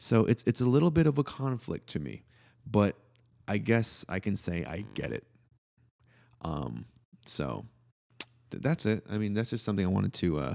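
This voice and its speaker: At a moderate pace, a man with a fairly low voice and a dark, mellow tone swings very widely in pitch, leaving long, frequent pauses in a dry, close sound with no echo. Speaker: podcast co-host. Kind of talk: casual chat.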